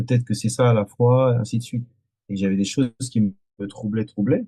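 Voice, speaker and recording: Somewhat breathy with a dark, mellow tone, a man's medium-pitched voice moves at a fairly quick pace with fairly even intonation. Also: dry, close sound with no echo. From France, Antillean family. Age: 40s. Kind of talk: podcast interview testimony. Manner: halting, many hesitations and repetitions.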